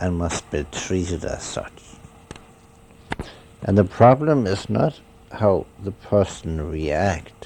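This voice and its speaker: Speaking at a very slow pace with long, frequent pauses, a man uses a very deep, low pitch and lively intonation against noticeable background noise. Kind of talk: spiritual meditation talk. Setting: home cassette recording. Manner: slow, pondering.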